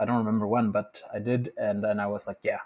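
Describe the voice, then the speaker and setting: Over a quiet background, a man speaks at a medium pitch with a Spanish accent. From Mexico City, Mexico. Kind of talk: casual chat.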